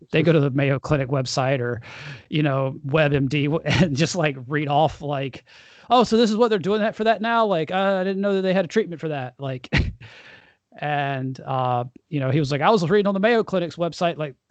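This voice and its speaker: A man speaks in an unremarkable speaking voice at a moderate pace. His pitch is fairly high. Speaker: podcast host and vasculitis patient. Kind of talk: casual interview talk about medical experiences. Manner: conversational, rambling, informal.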